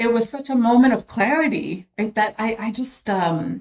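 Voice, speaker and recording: A woman speaks with a somewhat breathy sound. Her pitch varies in an ordinary way. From immigrant to US. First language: not English. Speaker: former HR executive and board member. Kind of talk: interview. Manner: halting.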